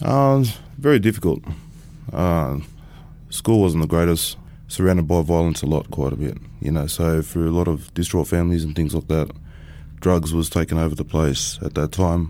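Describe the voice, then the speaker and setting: Using an Australian accent, a man with a very deep, low pitch and a dark, mellow tone talks at a moderate pace with lively intonation and long, frequent pauses. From Sydney, Australia (Bankstown). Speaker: former prisoner. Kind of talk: interview testimony.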